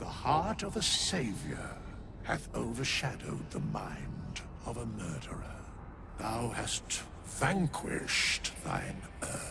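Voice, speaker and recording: A put-on character voice speaks in a solemn tone at a fairly slow pace over loud background noise. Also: man. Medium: video game. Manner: archaic, formal, measured, solemn.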